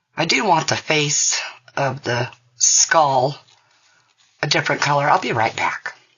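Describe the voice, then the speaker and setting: With long, frequent pauses, a woman speaks in a very deep, low voice with ordinary pitch variation. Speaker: resin crafter. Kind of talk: tutorial. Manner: casual.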